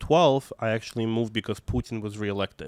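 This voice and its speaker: At a very fast pace, a man speaks in a Russian accent at a medium pitch, with a dry, close sound and no echo. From Russia, Moscow. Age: 20s. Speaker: activist and arts educator. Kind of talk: interview. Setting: podcast. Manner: halting, many fillers.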